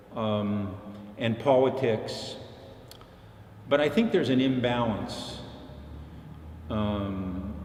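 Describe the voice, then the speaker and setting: Against noticeable background noise and audible room echo, a man speaks at a medium pitch and a very slow pace, with ordinary pitch variation and long, frequent pauses. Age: 70s. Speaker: professor. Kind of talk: interview. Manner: halting.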